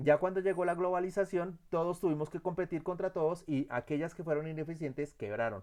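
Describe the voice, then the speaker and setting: With a fairly high pitch, a man talks fairly quickly. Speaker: instructor. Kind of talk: lecture. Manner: fast; halting.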